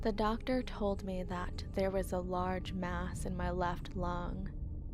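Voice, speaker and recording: Over background music, a woman talks at a very slow pace. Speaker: horror story narrator. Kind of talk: horror story narration read aloud.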